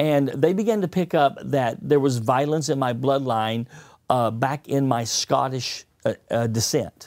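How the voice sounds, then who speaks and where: The man talks at a moderate pace with ordinary pitch variation. His background is quiet. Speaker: pastor. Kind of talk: sermon-style teaching with interpreter. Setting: studio. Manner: speaks in short segments. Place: studio. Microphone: lapel.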